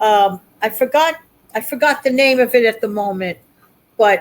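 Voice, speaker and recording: The speech moves at a moderate speed. Its pitch shifts in a normal way. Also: woman. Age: 60s. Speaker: YouTuber. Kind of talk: casual chat.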